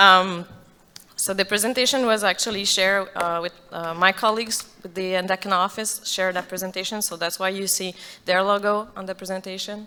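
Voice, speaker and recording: Woman with a French accent, medium pitch and a bright, sharp tone, monotone and flat, at a fairly quick pace. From Quebec, Odanak. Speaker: community administrator. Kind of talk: presentation.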